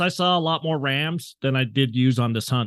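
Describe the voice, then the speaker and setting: Recorded dry and close with no echo against a quiet background, a man with an American accent speaks in a plain, everyday voice at medium pitch and a moderate pace. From Southeastern Utah, US. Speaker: hunter and forum moderator. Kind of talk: casual interview chat.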